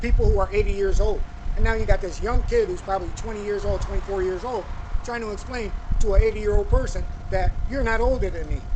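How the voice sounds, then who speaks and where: With noticeable background noise behind him, a man talks very fast. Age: 50s. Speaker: YouTube commentator. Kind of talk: casual monologue.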